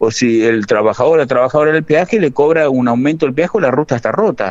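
Talking at a very fast pace, a man delivers his words. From Argentina, Santa Fe province (Gálvez). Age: 50s. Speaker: bank workers' union leader. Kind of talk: radio interview.

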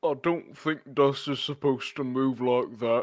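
At a moderate pace, a man with a medium pitch puts on a character voice, recorded very cleanly with a silent background. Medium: actual play. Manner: gentle, friendly.

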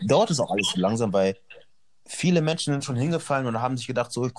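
His pitch is medium and varies in an ordinary way. The man speaks very fast. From northern Germany, Hannover. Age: 20s. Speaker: model and actor. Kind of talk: casual interview.

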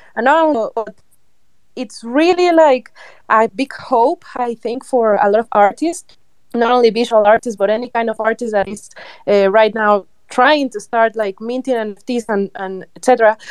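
A woman's enthusiastic tone, fairly high in pitch with ordinary pitch variation, at a fairly slow pace in a dry, close sound with no echo. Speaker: NFT artist and musician. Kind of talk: casual chat. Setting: online audio chat room.

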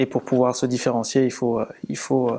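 A man speaks in a dark, mellow tone at a medium pitch. His intonation stays monotone and flat. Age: 30s. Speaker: sports data and marketing professional. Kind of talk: interview. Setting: in-person recording in an office. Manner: hesitant, with frequent fillers and repetitions.

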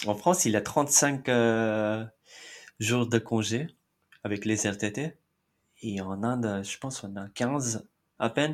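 On a very clean recording with a silent background, a man speaks at a very slow pace with ordinary pitch variation and long, frequent pauses. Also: medium pitch for a man. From India, Mumbai. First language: Marathi (speaking French). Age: 30s. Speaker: immigrant interviewee. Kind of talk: interview.

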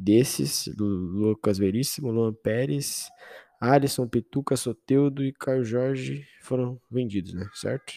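A man talks at a very slow pace with a medium pitch. His tone is dark and mellow, and the sound is dry and close with no echo. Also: ordinary pitch variation. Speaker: football podcast host, Santos fan. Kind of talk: solo casual commentary. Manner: informal, halting with filler words.

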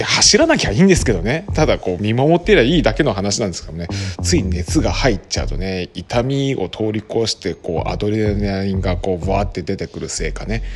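Man's fairly low voice at a fairly quick pace, lively in intonation and with hardly any pauses, over music in the background. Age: 40s. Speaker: podcaster and volunteer firefighter. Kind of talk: casual solo monologue. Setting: office. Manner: mumbling; animated.

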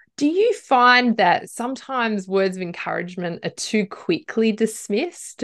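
A woman speaks in an ordinary speaking voice at a moderate pace, with a quiet background. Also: hardly any pauses. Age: 40s. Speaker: podcast host and leadership coach. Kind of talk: casual interview.

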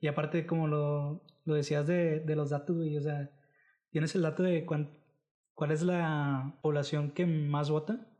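A man with a dark, mellow tone and fairly high pitch speaks at a fairly slow pace against a quiet background. His intonation is monotone and flat, and his loudness very even. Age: 20s. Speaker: podcast host. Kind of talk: casual chat.

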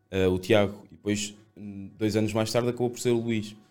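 A man talks in a fairly low pitch at a moderate pace, his intonation monotone and flat. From Portugal, Seia (Guarda district). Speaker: esports coach. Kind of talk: casual interview chat.

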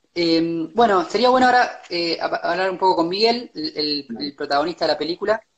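Hardly any pauses break up the talking, which keeps to a moderate pace. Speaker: livestream interviewer for a filmmakers collective. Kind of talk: interview. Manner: halting.

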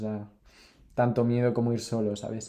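At a moderate pace, a man talks in a medium-pitched voice with a dark, mellow tone. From Spain, Cantabria. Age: 20s. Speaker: traveller. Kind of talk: casual chat.

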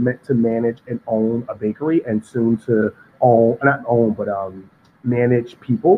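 With a New York accent, a man talks at a medium pitch and fairly even intonation. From New York City, Harlem. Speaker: pastry chef. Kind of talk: interview.

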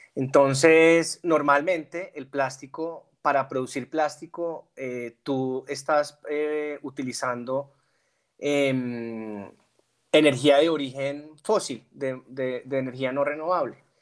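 In a very clean recording with a silent background, a man speaks very slowly at a fairly high pitch with fairly even intonation. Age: 30s. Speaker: corporate sustainability manager. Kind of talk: interview. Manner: halting.

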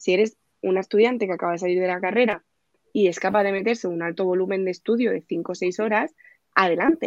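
The speech runs at a very fast pace with ordinary pitch variation and a dry, close sound with no echo. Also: woman, medium pitch for a woman. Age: 20s. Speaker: police exam tutor. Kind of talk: casual chat.

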